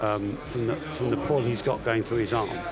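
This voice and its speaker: A man with an English accent at a medium pitch with ordinary pitch variation, music in the background. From England. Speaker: armwrestling commentator and referee coach. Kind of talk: live commentary.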